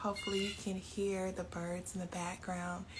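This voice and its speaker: Soft-spoken and at medium pitch, a woman talks at a moderate pace with fairly even intonation. Audible room echo surrounds her voice. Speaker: yoga and meditation teacher. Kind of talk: guided meditation. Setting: home by an open door, live stream.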